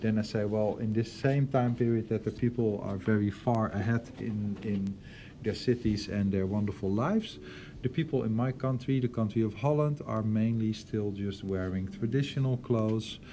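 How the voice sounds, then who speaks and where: A man's medium-pitched voice, dark and mellow in tone, with fairly even intonation, a moderate pace and a Dutch accent. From Netherlands. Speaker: art teacher. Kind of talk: lecture. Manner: hesitant, many fillers.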